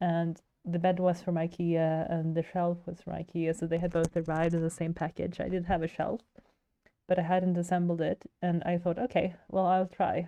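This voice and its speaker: A woman's dark, mellow tone, fairly low in pitch, flat and monotone at a moderate pace. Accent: Swedish. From Sweden. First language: Swedish. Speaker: digital artist streamer. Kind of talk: casual chat while livestreaming. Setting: livestream.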